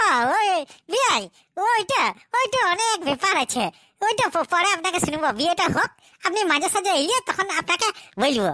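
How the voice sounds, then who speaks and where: In a squeaky, cartoonish character voice, a woman speaks at a moderate pace with extremely high pitch, very wide pitch swings and very even loudness, in a dry, close sound with no echo. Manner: brash, commanding.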